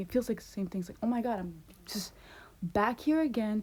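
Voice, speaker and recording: A woman's fairly high, somewhat breathy voice with a dark, mellow tone, a fairly quick pace and ordinary pitch variation. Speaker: vlogger. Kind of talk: casual vlog monologue. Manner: fast; animated.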